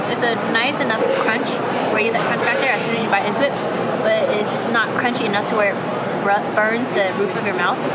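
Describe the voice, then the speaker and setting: A woman speaks fairly quickly against loud background noise. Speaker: vlogger. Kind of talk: casual food review vlog chat. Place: market.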